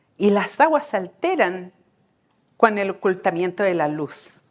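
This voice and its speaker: A woman speaking at a very slow pace with very wide pitch swings, on a very clean recording with a silent background. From Chile. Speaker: Mapuche medicine woman and midwife. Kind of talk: talk to an audience.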